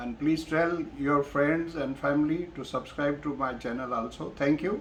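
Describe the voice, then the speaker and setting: Speaking with a Pakistani accent, a man with a fairly high pitch keeps his intonation fairly even at a moderate pace. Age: 70s. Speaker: retired professor and vlogger. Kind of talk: personal vlog monologue. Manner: hesitant, many fillers.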